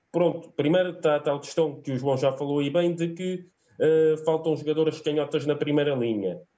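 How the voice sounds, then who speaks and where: The man has a plain, everyday voice, pitched fairly high, and moves at a moderate pace. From Alentejo, southern Portugal. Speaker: sports fan commentator. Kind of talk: casual sports discussion. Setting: online video call.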